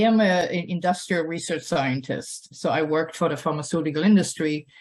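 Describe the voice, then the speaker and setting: Speaking in a German accent, a woman has a fairly low pitch with ordinary pitch variation. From Germany. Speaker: nonprofit founder and scientist. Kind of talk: personal talk to an audience. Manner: hesitant, with many fillers.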